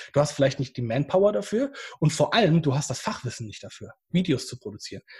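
In an ordinary speaking voice, a man talks at a fairly quick pace. His pitch is fairly high and his intonation lively. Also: very clean recording, silent background. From Germany, Bad Oeynhausen (East Westphalia). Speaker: YouTuber, painter and decorator. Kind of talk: interview.

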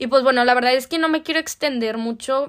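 The voice belongs to a woman who uses ordinary pitch variation. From Mexico, Torreón, Coahuila. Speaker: podcast host, au pair. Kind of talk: casual monologue.

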